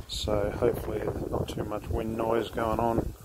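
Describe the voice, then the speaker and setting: Loud background noise sits behind the voice. A man speaks at a fairly slow pace. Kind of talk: casual tutorial commentary. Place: street. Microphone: phone near.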